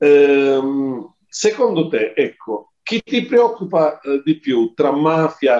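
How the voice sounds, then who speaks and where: Over a quiet background, a man's voice has a dark, mellow tone. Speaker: commentator, former police official. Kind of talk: panel discussion. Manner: formal. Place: home room. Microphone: video call.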